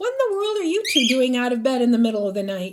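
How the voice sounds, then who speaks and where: A woman puts on a character voice at a high pitch. She speaks at a very fast pace with very wide pitch swings. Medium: read story.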